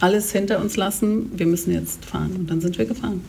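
A woman's voice at a fairly quick pace, with fairly even intonation, over noticeable background noise. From Germany, partly raised in Kenya. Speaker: anti-racism educator and author. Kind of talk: casual interview conversation.

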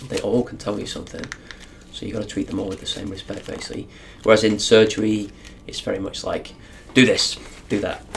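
A man talks very fast yet with long, frequent pauses, his loudness swinging widely over noticeable background noise. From northern England. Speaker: emergency doctor. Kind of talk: medical teaching; casual chat.

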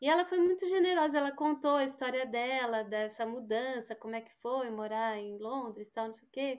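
A woman talks in a high pitch at a moderate pace with ordinary pitch variation. Her loudness swings widely, and she hardly pauses. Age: 60s. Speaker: publisher and journalist. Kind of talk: interview conversation.

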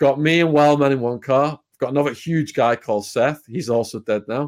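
A fairly high-pitched man's voice with a British accent and lively intonation. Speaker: ex-prisoner turned YouTuber. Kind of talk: storytelling interview.

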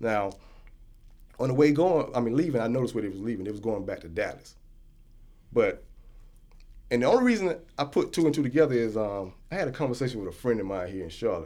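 Speaking very fast with lively intonation yet long, frequent pauses, a man uses a dark, mellow tone at a medium pitch. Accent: American. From United States. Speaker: traveler back from West Africa. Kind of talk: casual discussion. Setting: studio.

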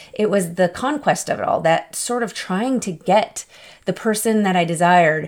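Her tone is animated, at a medium pitch with ordinary pitch variation and a moderate pace. The recording of this woman is very clean, with a silent background. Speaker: podcast host. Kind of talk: casual solo podcast talk. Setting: home recording. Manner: animated, laughs often.

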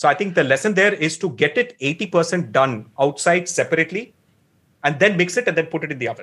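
A man with a Tamil accent, high pitch, bright, sharp tone, lively intonation and a fairly quick pace. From Tamil Nadu, India. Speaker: author and blogger. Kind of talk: interview about a book, casual explanation.

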